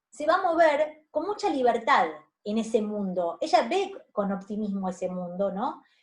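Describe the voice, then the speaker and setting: A woman speaks at a fairly slow pace in a somewhat breathy voice, her pitch swinging very widely. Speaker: university lecturer. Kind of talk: lecture. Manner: hesitant, many fillers.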